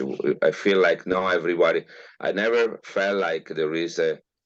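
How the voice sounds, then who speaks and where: Italian accent from a man. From northern Italy, Milan. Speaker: geneticist. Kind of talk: interview. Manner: halting, many fillers.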